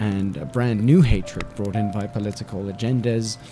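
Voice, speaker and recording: With music in the background, a man talks at a moderate pace in a medium pitch. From South Africa. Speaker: radio host and linguistics lecturer. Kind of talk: podcast talk, personal opinion piece.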